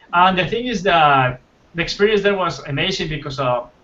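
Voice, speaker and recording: A man speaks with a Spanish accent at a moderate pace. His pitch varies in an ordinary way. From Colombia. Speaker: concept artist. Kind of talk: casual interview. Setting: livestream. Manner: halting.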